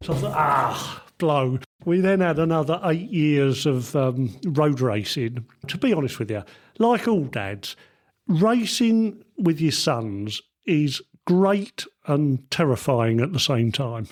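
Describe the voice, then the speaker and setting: Here a man speaks very slowly at a fairly high pitch. His voice makes very wide pitch swings. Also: very clean recording, silent background. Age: 70s. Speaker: retired motorcycle engineer. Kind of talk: interview. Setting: on location at a test track.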